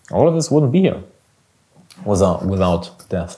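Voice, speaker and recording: This man has a dark, mellow tone. He speaks with a slight German accent. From Germany. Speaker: business coach, podcast host. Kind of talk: solo podcast monologue.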